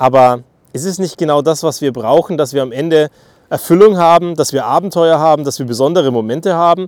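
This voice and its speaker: Animated in tone, the speech runs at a fairly quick pace in a very clean recording with a silent background. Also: man. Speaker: podcaster. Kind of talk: monologue.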